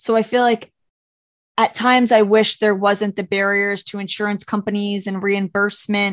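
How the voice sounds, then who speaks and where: Flat and monotone, the speaker uses an American accent at a moderate pace, the sound dry and close with no echo over a quiet background. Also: woman. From Orange County, New York. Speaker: physical therapist, podcast co-host. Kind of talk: casual chat.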